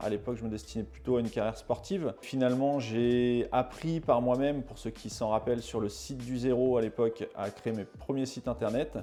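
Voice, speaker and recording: Here a man talks with a dark, mellow tone at medium pitch. His pace is moderate. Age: 30s. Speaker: e-commerce agency owner. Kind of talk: interview testimony. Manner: hesitant, many fillers and repetitions.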